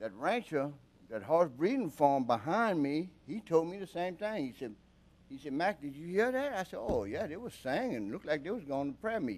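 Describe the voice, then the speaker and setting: His pitch swings very widely. The man keeps a moderate pace throughout. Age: 70s. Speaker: concerned resident speaking at public meeting. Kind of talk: public comment at council meeting. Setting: public committee meeting. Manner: informal, colloquial storytelling.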